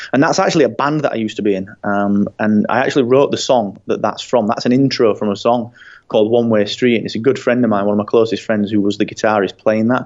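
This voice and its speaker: Speaking very fast, a man keeps a medium pitch with ordinary pitch variation. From northern England, Barnsley. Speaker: podcaster and design agency owner. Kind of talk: interview.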